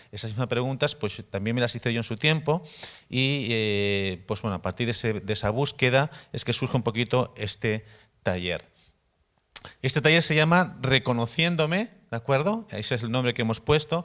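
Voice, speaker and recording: In a very clean recording with a silent background, a man with a Spanish accent speaks at a moderate pace. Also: medium pitch for a man, lively intonation. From Spain, Barcelona area. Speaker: missionary, workshop teacher. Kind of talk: workshop teaching. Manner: halting, repeats words.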